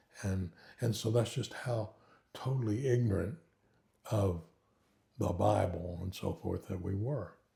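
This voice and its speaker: A man speaks in a Southern Plains accent at a fairly slow pace, with long, frequent pauses. His fairly low voice is somewhat breathy, dark and mellow, with ordinary pitch variation. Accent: Southern Plains American. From Oklahoma and Kansas, US. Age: 80s+. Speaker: retired pastor. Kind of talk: interview, life testimony. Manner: hesitant, many fillers.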